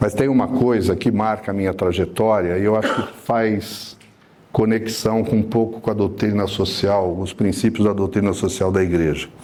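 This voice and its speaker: A man with an ordinary speaking voice, fairly low in pitch, at a moderate pace with fairly even intonation. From São Paulo city, Brazil. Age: 60s. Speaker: city councillor. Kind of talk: panel talk at a debate event.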